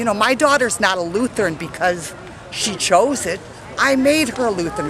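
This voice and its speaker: A woman's fairly high voice with lively intonation at a moderate pace, crowd noise behind her and audible room echo. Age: 60s. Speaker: rally attendee. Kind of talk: street interview. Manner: animated.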